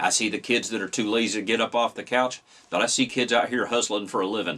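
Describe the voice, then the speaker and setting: A very fast, bright, sharp voice with an American accent. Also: man, medium pitch for a man. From Indiana. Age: 60s. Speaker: political commentator. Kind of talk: opinion monologue. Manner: animated.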